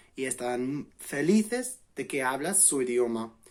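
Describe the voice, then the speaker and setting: With an English accent, the speaker moves through very wide pitch swings at a fairly slow pace. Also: man. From England. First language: English (speaking Spanish). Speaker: language learning vlogger. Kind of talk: vlog explainer. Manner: halting, self-correcting.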